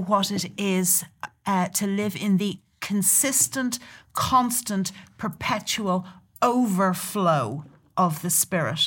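Speaking with a southern Irish accent, a woman goes at a very slow pace. Her pitch is medium and her intonation lively. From Southern Ireland, near Dublin. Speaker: church leader and prophetic speaker. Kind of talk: casual chat about scripture. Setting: studio.

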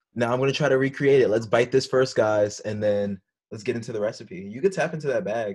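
A man with an American accent, a plain, everyday voice, and medium pitch. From Florida. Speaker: podcast host. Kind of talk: casual chat.

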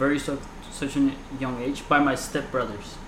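A man talks with noticeable background noise around him and audible echo off the room. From Colombia, moved to the US around age 11. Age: 20s. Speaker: podcast host. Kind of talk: casual chat.

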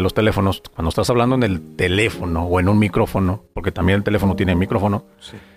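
With music in the background, a man talks at a very fast pace. His pitch is very deep and low. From Mexico, Guadalajara. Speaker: radio announcer. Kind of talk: casual interview.

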